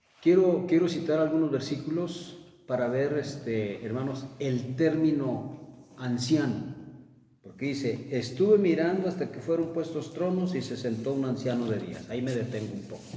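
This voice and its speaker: Amid audible room echo, a man with a fairly high pitch speaks at a moderate pace with ordinary pitch variation. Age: 60s. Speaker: preacher. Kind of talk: sermon.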